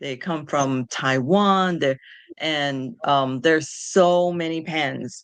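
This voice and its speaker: A woman with a New York accent. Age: 60s. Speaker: patient advocate. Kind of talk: interview.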